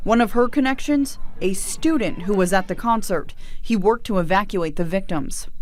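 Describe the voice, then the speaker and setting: A woman with an ordinary speaking voice and medium pitch speaks with lively intonation. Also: moderate pace. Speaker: TV news reporter and anchor. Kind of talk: pre-produced news package voiceover.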